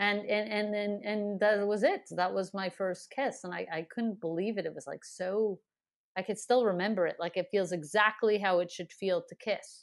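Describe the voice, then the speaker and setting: In a plain, everyday voice, a woman talks at medium pitch and a moderate pace with fairly even intonation against a quiet background. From Montreal, Canada. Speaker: comedian. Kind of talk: casual interview chat.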